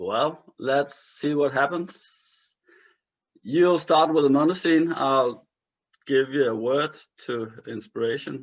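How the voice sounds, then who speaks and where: At a very slow pace, a man speaks with a fairly high pitch and ordinary pitch variation. Long, frequent pauses break up his speech. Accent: Danish. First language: Danish. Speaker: improviser, show host. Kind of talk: casual chat.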